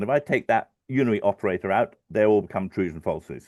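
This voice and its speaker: Over a quiet background, a man talks very fast with lively intonation in a dry, close sound with no echo. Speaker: financial modeller. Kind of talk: webinar tutorial. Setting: live stream webinar. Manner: halting, many fillers.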